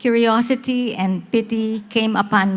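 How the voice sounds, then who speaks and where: Speaking with a Filipino accent, the voice moves at a very slow pace. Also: woman. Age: 70s. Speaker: missionary. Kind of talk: testimony talk to church audience.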